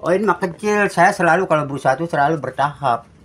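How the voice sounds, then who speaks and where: Noticeable background noise sits behind the talking. The delivery is very fast. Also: man. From Bali, Indonesia. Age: 70s. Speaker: ornamental fish farmer. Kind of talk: interview.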